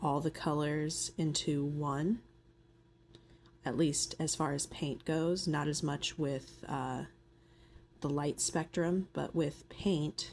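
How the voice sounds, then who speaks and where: A soft-spoken woman with a very deep, low pitch talks at a very slow pace. Her intonation is fairly even, broken by long, frequent pauses. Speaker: nail artist. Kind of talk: tutorial voiceover. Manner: soft-spoken, ASMR style.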